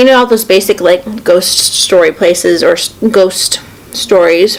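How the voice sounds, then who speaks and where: A woman talks over noticeable background noise. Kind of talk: casual talk to camera.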